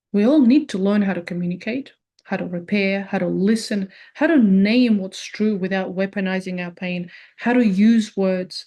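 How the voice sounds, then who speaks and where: With a non-native accent, a woman speaks at a moderate pace in a somewhat breathy, dark and mellow medium-pitched voice with ordinary pitch variation against a quiet background. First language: not English. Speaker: personal growth video creator. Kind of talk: reflective monologue.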